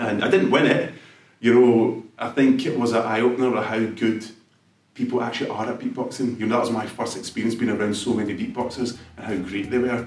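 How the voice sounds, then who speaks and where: In a Scottish accent, a man talks at a fairly quick pace and medium pitch. His intonation is fairly even, and the room echo is audible. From Glasgow, Scotland. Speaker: beatboxer. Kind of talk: interview.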